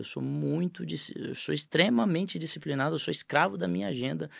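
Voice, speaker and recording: At a fairly quick pace, the voice makes very wide pitch swings on a very clean recording with a silent background. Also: man. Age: 40s. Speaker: franchise company CEO. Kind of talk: casual interview chat.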